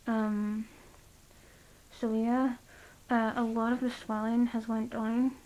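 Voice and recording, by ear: Slow, slightly mellow speech from a woman at a fairly high pitch with little pitch movement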